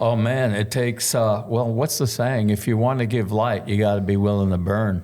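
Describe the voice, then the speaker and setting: A man's fairly low voice with an American accent, fairly even intonation, very even loudness, a moderate pace and hardly any pauses, over noticeable background noise. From New York City. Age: 70s. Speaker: podcast guest. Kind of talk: casual chat.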